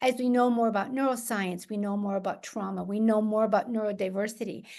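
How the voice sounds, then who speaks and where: Very fast speech from a woman, fairly high in pitch, with fairly even intonation. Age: 70s. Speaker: pediatric occupational therapist. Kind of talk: interview conversation.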